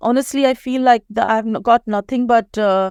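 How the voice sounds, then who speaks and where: A woman with an Indian accent, fairly high pitch and ordinary pitch variation, in a dry, close sound with no echo on a very clean recording with a silent background. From India (Mumbai). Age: 50s. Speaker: psychiatrist. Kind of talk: interview conversation. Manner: fast when anxious.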